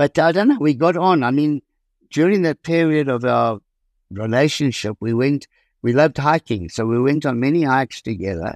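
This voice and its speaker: A man with a South African accent, fairly high in pitch, with lively intonation at a moderate pace, in a dry, close sound with no echo over a quiet background. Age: 70s. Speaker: author and property businessman. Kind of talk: interview about his memoir.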